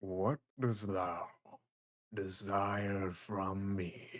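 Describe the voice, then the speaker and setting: Booming in a put-on character voice, a man speaks at a fairly low pitch. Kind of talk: archaic, thou-speak.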